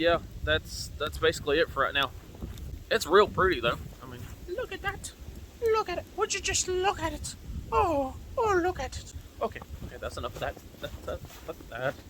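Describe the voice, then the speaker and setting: Amid noticeable background noise, a man speaks at a moderate pace with long, frequent pauses and big swings in loudness. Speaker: preparedness video creator. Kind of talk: casual vlog update. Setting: outdoors.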